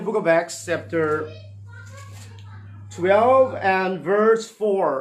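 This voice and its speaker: A high-pitched man with a Northeast Indian accent at a very slow pace, with audible room echo and noticeable background noise. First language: Thadou-Kuki. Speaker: pastor. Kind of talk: sermon. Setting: livestream. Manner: halting.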